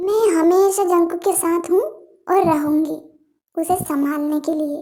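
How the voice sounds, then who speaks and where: In a put-on character voice, a woman speaks at an extremely high pitch with ordinary pitch variation and a fairly slow pace. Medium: read story.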